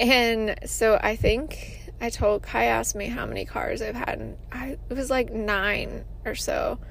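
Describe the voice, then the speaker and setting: Against audible room echo, the voice moves at a fairly slow pace with hardly any pauses. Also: woman. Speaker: wellness podcast host and military veteran. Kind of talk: casual solo monologue. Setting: in a parked car.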